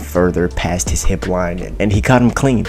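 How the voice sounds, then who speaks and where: A man's voice at a fairly quick pace, lively intonation and music in the background. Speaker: MMA commentary YouTuber. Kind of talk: casual recap commentary. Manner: conversational, energetic.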